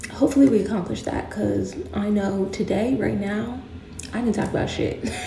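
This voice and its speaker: A woman speaks quietly. Noticeable background noise and audible room echo are present. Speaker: lifestyle vlogger, new mom. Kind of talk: casual vlog talking to camera. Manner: quiet, hushed; casual, chatty.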